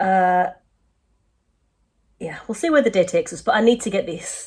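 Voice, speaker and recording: This woman talks at a very fast pace, her medium pitch carried by lively intonation. Her voice is somewhat breathy. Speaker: illustrator vlogger. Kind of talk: casual vlog talk. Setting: home studio.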